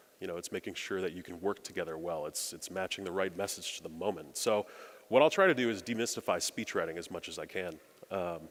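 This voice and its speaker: In an American accent, a man speaks with a very deep, low pitch. His pace is very fast. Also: ordinary pitch variation, big swings in loudness, very clean recording, silent background. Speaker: speechwriter. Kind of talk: keynote speech. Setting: stage with audience.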